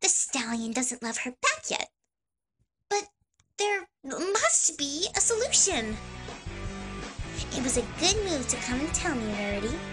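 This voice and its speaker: A put-on character voice, pitched high with very wide pitch swings, speaks at a fairly slow pace with long, frequent pauses as faint music plays in the background. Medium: dub.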